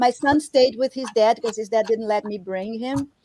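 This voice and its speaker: A woman with a Brazilian Portuguese accent speaks at a fairly quick pace, her pitch fairly high with ordinary variation. The recording is very clean and dry, close with no echo and a silent background. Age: 40s. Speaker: artist and sculptor. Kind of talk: casual interview chat. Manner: animated.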